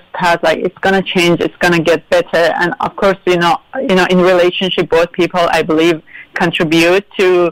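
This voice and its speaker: In a Persian accent, a woman speaks at a fairly low pitch and a moderate pace. Her intonation is fairly even, and the sound is dry and close with no echo. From Iran. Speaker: interview guest. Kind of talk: interview. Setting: live radio show.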